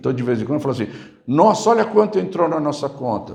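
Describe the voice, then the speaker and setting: Audible room echo around a man speaking with very wide swings in pitch. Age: 60s. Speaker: pastor. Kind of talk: sermon.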